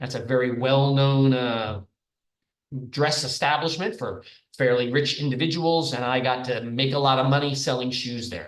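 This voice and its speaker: With an unremarkable speaking voice, this man holds a medium pitch and fairly even intonation while talking at a moderate pace. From New York, Long Island. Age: 60s. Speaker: professor. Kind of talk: lecture.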